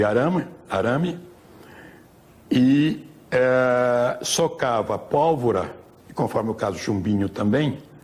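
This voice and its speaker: Over noticeable background noise, a man talks at a very slow pace. His medium-pitched voice has lively intonation. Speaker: longtime resident. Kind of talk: interview reminiscence.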